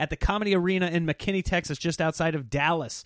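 On a very clean recording with a silent background and a dry, close sound with no echo, a man with a Midwestern US accent talks at a high pitch with fairly even intonation. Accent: US Midwest. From Nebraska. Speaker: comedian. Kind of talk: casual chat; show promo.

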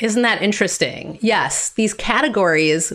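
In an American accent, a woman with an unremarkable speaking voice talks fairly slowly at a medium pitch on a very clean recording with a silent background. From Wisconsin (Green Bay). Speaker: author. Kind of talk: interview conversation.

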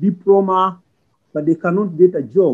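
With a Ugandan accent, a man speaks at a high pitch in fairly even intonation. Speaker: refugee. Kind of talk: interview. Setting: remote recording. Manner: impassioned.

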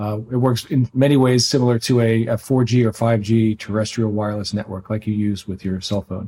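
A plain, everyday voice, fairly quick and fairly even in intonation, on a very clean recording with a silent background. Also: man. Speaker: tech company CEO. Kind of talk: interview, technical explanation.

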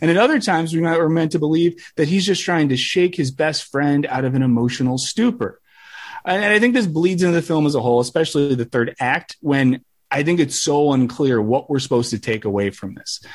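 In a plain, everyday voice, a man talks at a fairly quick pace with a fairly high pitch and lively intonation. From US Midwest. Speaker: online video creator. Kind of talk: casual chat. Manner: self-deprecating.

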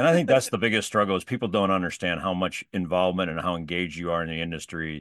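A man rushes along at a very fast pace in a very deep, low pitch, with ordinary pitch variation and hardly any pauses. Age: 50s. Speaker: podcast host, sales trainer. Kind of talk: interview. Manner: halting.

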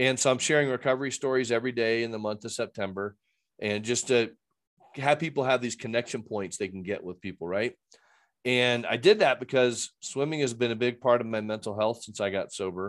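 Over a quiet background, a man with an ordinary speaking voice and an American accent talks at a fairly quick pace, his pitch medium with ordinary variation. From US Midwest, Fort Wayne, Indiana. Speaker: addiction recovery coach and podcast host. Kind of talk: testimony.

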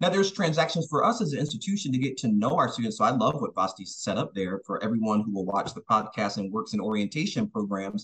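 A man talks at a very fast pace with hardly any pauses. His medium pitch swings very widely. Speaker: university professor and researcher.

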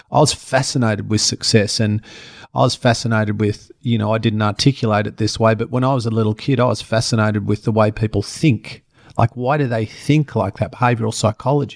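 A man with an Australian accent speaks at a fairly quick pace and medium pitch. The sound is dry and close, with no echo. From rural Australia. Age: 50s. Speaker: presenter and personal trainer. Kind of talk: interview. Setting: home studio. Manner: animated.

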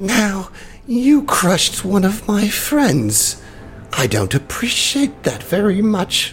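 The speaker uses a put-on character voice at a middle pitch. The pace is very slow, and background noise is clearly heard. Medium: actual play. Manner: menacing, gloating.

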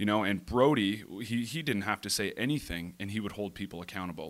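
At a fairly quick pace, a man with a fairly low pitch speaks on a very clean recording with a silent background. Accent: Ontario. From Ontario, Canada (east of Toronto). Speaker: professional lacrosse player. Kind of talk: casual interview.

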